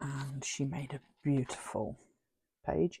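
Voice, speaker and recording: A woman with a British accent talks in a very deep, low pitch with vocal fry. The sound is dry and close, with no echo. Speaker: crafting YouTuber. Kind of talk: casual craft tutorial chat.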